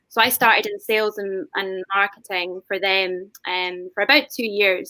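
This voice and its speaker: A woman with a Scottish accent speaks at a medium pitch in a bright, sharp tone, with ordinary pitch variation and a dry, close sound with no echo. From Scotland. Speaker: whisky brand ambassador. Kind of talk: panel discussion on video call.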